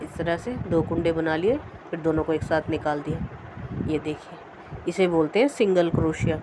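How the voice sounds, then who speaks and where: A woman talks at a fairly slow pace in a fairly low pitch with ordinary pitch variation. There is noticeable background noise. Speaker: crochet tutorial maker. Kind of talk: tutorial.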